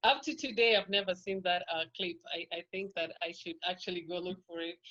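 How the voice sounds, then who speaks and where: A woman with a Kenyan accent speaks at a medium pitch with fairly even intonation. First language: Kikuyu. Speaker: podcast guest. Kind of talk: interview.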